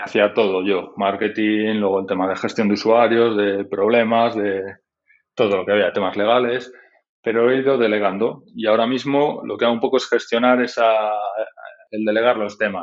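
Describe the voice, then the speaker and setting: In a fairly low pitch and a flat monotone, a man speaks at a moderate pace. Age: 40s. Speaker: tech entrepreneur, website founder. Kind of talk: interview.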